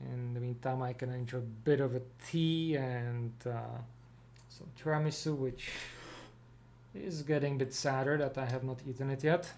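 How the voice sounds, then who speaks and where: A man with a non-native accent and medium pitch talks at a moderate pace with fairly even intonation and long, frequent pauses, in audible room echo. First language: not English. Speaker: livestream co-host, web developer. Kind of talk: casual livestream chat. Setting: live video stream on camera. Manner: halting, many fillers.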